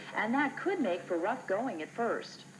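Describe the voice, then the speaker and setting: A woman talks at a fairly quick pace with lively intonation. Noticeable background noise runs under her voice. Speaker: local TV news anchor. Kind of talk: TV news anchor read.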